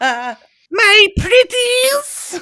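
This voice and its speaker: A high-pitched, put-on character voice comes through. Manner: cackling, sinister.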